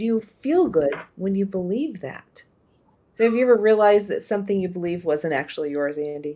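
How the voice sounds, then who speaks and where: A woman with an American accent speaks at a fairly quick pace, her medium pitch carried by lively intonation. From US Midwest. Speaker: podcast host. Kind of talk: casual chat. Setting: live stream.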